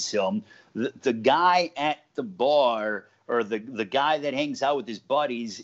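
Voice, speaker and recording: With an American accent, a man in a normal speaking voice talks at a fairly slow pace with a fairly high pitch and lively intonation. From Los Angeles, California. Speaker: ring announcer, play-by-play commentator, sports anchor. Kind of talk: casual interview answer.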